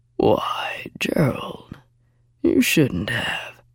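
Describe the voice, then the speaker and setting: The voice is a put-on character voice. It sounds raspy. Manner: mocking, sarcastic.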